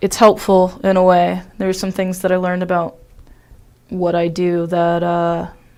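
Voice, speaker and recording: At a moderate pace and medium pitch, a woman speaks in an American accent with monotone, flat intonation. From Ohio. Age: 20s. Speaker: stand-up comedian. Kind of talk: casual chat.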